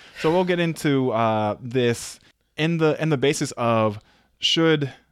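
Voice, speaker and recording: A man speaks at a fairly high pitch with ordinary pitch variation, recorded very cleanly against a silent background. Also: very even loudness. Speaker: podcast co-host. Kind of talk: casual chat. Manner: little pitch variation, working on inflection.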